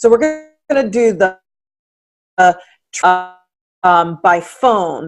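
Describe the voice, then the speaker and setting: Music plays in the background as the speaker goes at a very slow pace with long, frequent pauses and lively intonation. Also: woman, medium pitch for a woman. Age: 50s. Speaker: writer, life coach and speaker. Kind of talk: casual interview chat.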